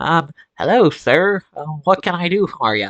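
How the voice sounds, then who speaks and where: A man's put-on character voice, nasal and high-pitched, at a moderate pace. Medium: actual play.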